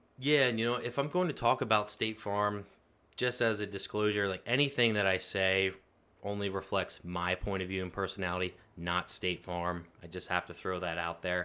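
In a normal speaking voice with an American accent, a man speaks at a moderate pace and a fairly low pitch with ordinary pitch variation, on a very clean recording with a silent background. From Pennsylvania, US. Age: 30s. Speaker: insurance agent. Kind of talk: interview. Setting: studio.

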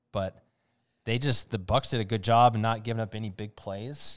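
A man with an Upper Midwest accent talks at a moderate pace, his medium pitch following fairly even intonation. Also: very clean recording, silent background. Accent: Upper Midwest American. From Wisconsin (Waukesha, Oshkosh). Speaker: podcast co-host. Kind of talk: casual chat.

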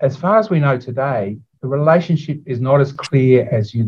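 An Australian-accented man talks at a medium pitch, somewhat breathy, with lively intonation. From Australia, Sydney. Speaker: neuropathologist. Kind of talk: interview.

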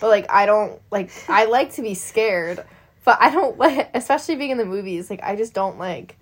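A woman's fairly high, unremarkable speaking voice at a moderate pace, with lively intonation and big swings in loudness. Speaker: podcast co-host. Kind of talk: casual chat about movies.

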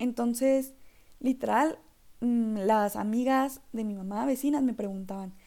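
A woman with a high pitch and a dark, mellow tone speaks at a fairly slow pace with a northern Mexican accent. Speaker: marketing student and podcaster. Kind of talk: casual solo podcast monologue. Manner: animated.

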